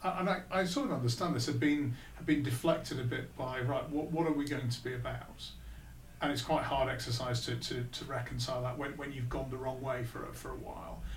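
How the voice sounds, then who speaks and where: A man with a Lancashire accent at a medium pitch, fairly quick, amid audible room echo and noticeable background noise. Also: fairly even intonation. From northern England, Blackpool. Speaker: business executive. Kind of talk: interview.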